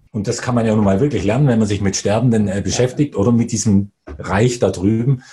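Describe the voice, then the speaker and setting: The voice runs at a fairly quick pace, dark and mellow in tone, somewhat breathy, and fairly even in intonation. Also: man, medium pitch for a man. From Bavaria. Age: 40s. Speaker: investor. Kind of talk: interview.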